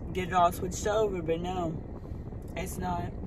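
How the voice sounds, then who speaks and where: Loud background noise behind a woman talking at a medium speed. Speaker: vlogger. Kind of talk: casual vlog chat. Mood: unsure, mildly worried. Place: car.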